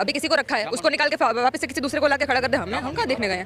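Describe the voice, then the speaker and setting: Crowd noise fills the background as a woman speaks in a Gujarati accent at a high pitch. Her tone is animated and her intonation lively. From Gujarat, India. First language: Gujarati (speaking Hindi). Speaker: member of the public interviewed on the street. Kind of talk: street interview, political opinion. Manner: animated, argumentative.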